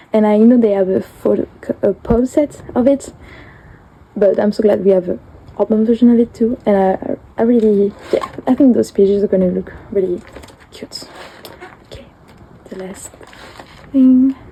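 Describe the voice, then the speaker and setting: With a French accent, the speaker keeps a moderate pace and fairly even intonation but takes long, frequent pauses, with big swings in loudness and noticeable background noise. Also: woman, fairly high pitch for a woman. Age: 20s. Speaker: collector vlogger. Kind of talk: show-and-tell flip through. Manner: halting, many fillers.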